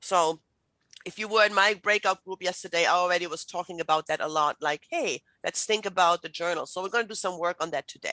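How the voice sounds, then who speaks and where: A woman's medium-pitched, bright, sharp voice at a very fast pace, fairly even in intonation, dry and close with no echo against a quiet background. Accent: German. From Germany. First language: German. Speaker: writing instructor. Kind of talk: lecture.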